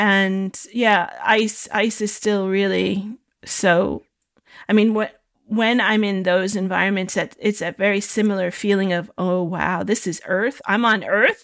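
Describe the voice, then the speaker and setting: The speech comes at a fairly slow pace in a flat, monotone intonation. The recording is very clean, with a silent background. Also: woman, medium pitch for a woman. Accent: American. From United States. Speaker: photographer. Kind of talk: interview. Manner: halting, many repeated words.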